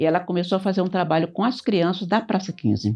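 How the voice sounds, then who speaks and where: The woman talks fairly quickly, and the background stays quiet. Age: 80s+. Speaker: retired teacher. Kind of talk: casual group conversation.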